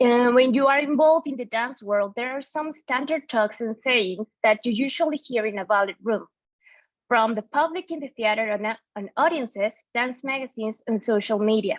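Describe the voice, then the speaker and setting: A woman with a Mexican accent, high in pitch, at a moderate pace with ordinary pitch variation, in a dry, close sound with no echo. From Mexico. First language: Spanish. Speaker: art historian and dance researcher. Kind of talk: conference talk. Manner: halting with self-corrections.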